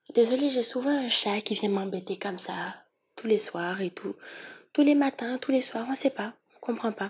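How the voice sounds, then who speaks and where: This woman talks at a moderate pace, her fairly high voice moving with ordinary pitch variation. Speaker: tarot reader. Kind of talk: tarot reading. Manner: animated.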